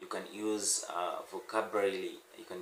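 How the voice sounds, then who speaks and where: A man with an East African accent, with audible room echo and noticeable background noise. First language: Swahili. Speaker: language teacher. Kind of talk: tutorial. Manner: halting.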